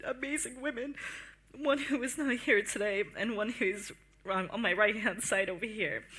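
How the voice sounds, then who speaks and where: Raising and projecting her high-pitched voice, a woman speaks at a moderate pace with ordinary pitch variation. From Latin America. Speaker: young heritage project participant. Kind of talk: panel talk. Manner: halting.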